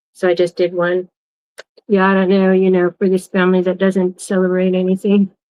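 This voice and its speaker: A woman with an American accent speaks at a fairly quick pace in a medium pitch, her loudness very even and her intonation monotone and flat. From Wisconsin. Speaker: crafting channel host. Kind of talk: casual livestream chat. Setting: livestream. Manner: hesitant, filler-heavy.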